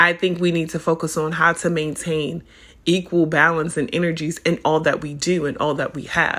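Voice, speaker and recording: A woman's bright, sharp, animated tone comes through on a very clean recording with a silent background. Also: moderate pace. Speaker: podcast host and spiritual advisor. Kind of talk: casual monologue.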